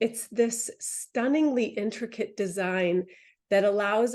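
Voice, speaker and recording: Against a quiet background, a woman with a dark, mellow tone and a fairly high pitch speaks very slowly with ordinary pitch variation. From New England. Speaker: holistic cancer coach. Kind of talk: webinar talk. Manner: hesitant, many filler words.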